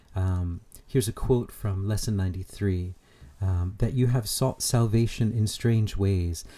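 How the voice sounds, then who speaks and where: This man's fairly low voice has a dark, mellow tone and a somewhat breathy quality, with fairly even intonation at a moderate pace. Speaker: spiritual channeler. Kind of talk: spiritual talk. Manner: hesitant, many fillers.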